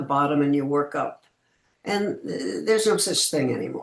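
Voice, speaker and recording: At a moderate pace, the woman delivers her words. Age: 80s+. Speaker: actress. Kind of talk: interview answer.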